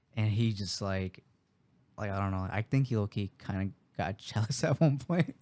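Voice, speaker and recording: In an American accent, a man talks with a fairly low pitch and ordinary pitch variation. His tone is dark and mellow, and the sound is dry and close with no echo. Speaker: podcast co-host. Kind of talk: casual chat.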